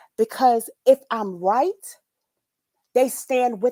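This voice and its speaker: A high-pitched woman's voice with dry, close sound and no echo. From Harlem, New York. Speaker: livestreamer. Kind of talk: casual livestream chat. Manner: soft-spoken.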